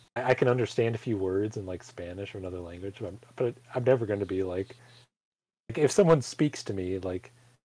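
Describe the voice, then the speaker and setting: A man's dark, mellow, somewhat breathy voice at a fairly low pitch, very fast pace, ordinary pitch variation and big swings in loudness, on a very clean recording with a silent background. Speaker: gaming co-host. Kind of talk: casual chat.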